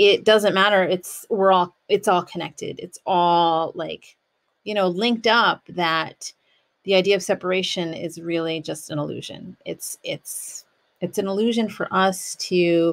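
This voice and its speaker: The woman's intonation stays fairly even as she talks at a fairly slow pace. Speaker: podcast host. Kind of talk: reflective podcast monologue. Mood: calm, reflective. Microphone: studio mic.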